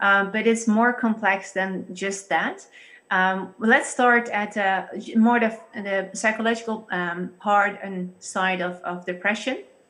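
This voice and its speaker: A woman speaks with a Dutch accent at a medium pitch. Her tone is bright and sharp, with fairly even intonation. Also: fairly slow pace. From Netherlands. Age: 30s. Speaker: church pastor guest. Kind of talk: interview discussion on faith. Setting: video call.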